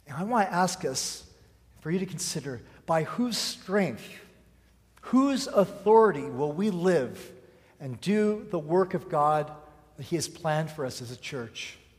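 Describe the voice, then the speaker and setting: In a room with audible echo, a man with a high pitch and lively intonation speaks at a fairly slow pace, with big swings in loudness and long, frequent pauses. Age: 40s. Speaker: pastor. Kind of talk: sermon.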